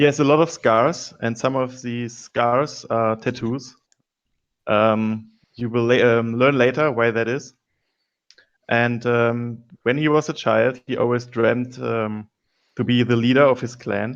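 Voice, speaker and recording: Speaking with a non-native accent, a man delivers his words at a fairly slow pace in a flat monotone. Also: medium pitch for a man, quiet background. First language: not English. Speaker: board game player. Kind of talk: casual chat; character backstory telling. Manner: halting.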